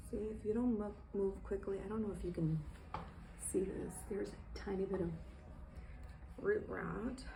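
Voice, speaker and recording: A woman whispers at a moderate pace with long, frequent pauses. Audible room echo is present. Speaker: plant care vlogger. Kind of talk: tutorial. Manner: whispering.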